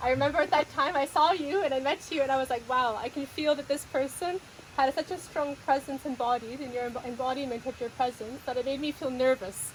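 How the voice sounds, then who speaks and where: Against noticeable background noise, a woman speaks at a fairly quick pace. Her voice is high-pitched, with ordinary pitch variation. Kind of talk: interview host; casual conversational interview, warm and appreciative. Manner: heartfelt, emotional, speaking with sincere appreciation.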